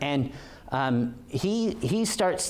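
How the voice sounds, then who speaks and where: Lively intonation marks a man speaking with a West Coast accent amid audible room echo. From Oregon. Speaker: police officer. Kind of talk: lecture. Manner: halting, many fillers.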